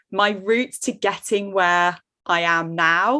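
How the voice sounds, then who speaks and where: A woman with a British accent, a bright, sharp tone and ordinary pitch variation against a quiet background. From Jersey, Channel Islands. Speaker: online course coach. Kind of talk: podcast interview.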